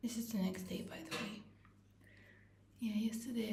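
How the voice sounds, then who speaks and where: Audible room echo surrounds a woman speaking at a moderate pace. Her intonation is fairly even. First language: not English. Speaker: vlogger. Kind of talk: casual vlog talk. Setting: bathroom.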